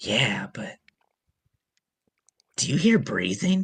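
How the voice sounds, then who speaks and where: Putting on a character voice, a man sounds raspy at a fairly high pitch, swinging very widely in pitch, in a dry, close recording with no echo. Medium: actual play. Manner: anxious, hushed.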